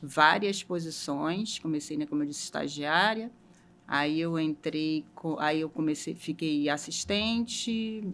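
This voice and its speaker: A woman with a very deep, low pitch speaks at a very slow pace, her pitch varying in an ordinary way. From Rio de Janeiro, Brazil. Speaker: logistics manager. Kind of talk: interview.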